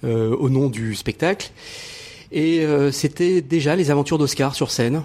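A man's fairly high pitch moves in a typical way as he uses a normal speaking voice. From Morocco. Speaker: TV journalist, writer and actor. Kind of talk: interview.

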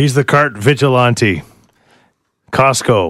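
Putting on a gravelly character voice, a man speaks at a fairly slow pace with medium pitch and ordinary pitch variation. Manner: like a movie trailer.

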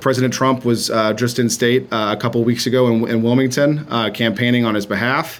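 Against noticeable background noise, a man talks at a fairly quick pace with monotone, flat intonation, very even loudness, and hardly any pauses. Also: medium pitch for a man. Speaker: campaign manager. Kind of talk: interview.

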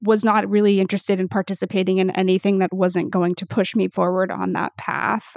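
A woman at a medium pitch, fairly quick and hardly pausing, in a monotone, flat delivery with a dry, close sound and no echo. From US Pacific Northwest. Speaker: creator partnerships manager, former professional musician. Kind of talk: interview conversation.

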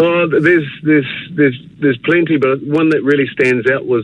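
A man speaks with a New Zealand accent and ordinary pitch variation. Noticeable background noise runs behind him. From New Zealand, Northland. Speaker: former rugby league player. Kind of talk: radio interview. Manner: halting, many fillers and repetitions.

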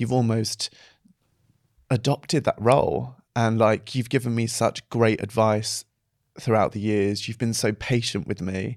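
In a very clean recording with a silent background, a man with an unremarkable speaking voice and medium pitch speaks at a moderate pace, his intonation fairly even. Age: 30s. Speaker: actor and dancer. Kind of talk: casual chat.

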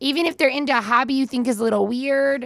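A woman with an Upper Midwest accent is heard in a dry, close sound with no echo. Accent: Upper Midwest American. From Minnesota, US. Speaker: host's mother. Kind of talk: casual interview.

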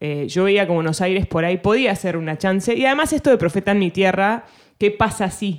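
With an ordinary speaking voice at a medium pitch, a woman talks in lively intonation over a very clean recording with a silent background. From Argentina. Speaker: singer-songwriter. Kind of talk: casual interview chat.

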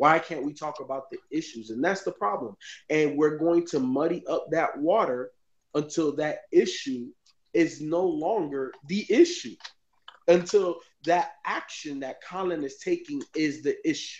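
A man with a fairly high pitch and ordinary pitch variation talks at a fairly slow pace in an animated tone. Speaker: sports podcast panelist. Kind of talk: casual sports talk show.

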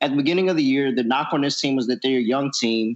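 Lively intonation marks the speech of a man with an American accent. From US South, Norfolk, Virginia (Tidewater). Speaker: college basketball analyst. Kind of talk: casual chat.

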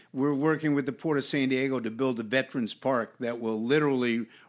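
Recorded very cleanly against a silent background, a man with an unremarkable speaking voice talks at medium pitch with fairly even intonation. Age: 60s. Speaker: museum director, retired navy admiral. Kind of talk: interview.

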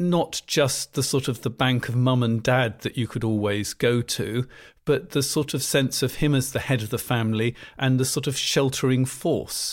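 An unremarkable speaking voice moves at a moderate pace with ordinary pitch variation over a very clean recording and silent background. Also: man, medium pitch for a man. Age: 60s. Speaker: marital therapist. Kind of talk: interview.

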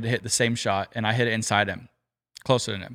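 A man at a medium pitch speaks in a bright, sharp tone with fairly even intonation, recorded very cleanly against a silent background in a dry, close sound with no echo. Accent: American. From California. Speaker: professional golfer. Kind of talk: casual chat.

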